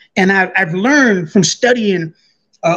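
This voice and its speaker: A high-pitched man at a moderate pace with ordinary pitch variation. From California, Inland Empire (born Buffalo, New York). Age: 60s. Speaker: former prisoner. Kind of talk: interview.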